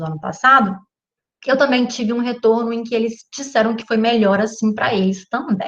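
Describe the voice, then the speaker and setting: Her voice fairly high in pitch, a woman talks at a moderate pace. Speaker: physics teacher. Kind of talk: online class introduction.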